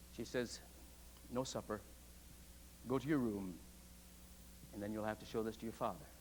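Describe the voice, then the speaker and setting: Long, frequent pauses from a man with an American accent, fairly low pitch, vocal fry and ordinary pitch variation. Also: fairly quick pace. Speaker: preaching professor delivering a sermon. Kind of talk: sermon delivered to a seminary congregation. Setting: chapel, live congregation.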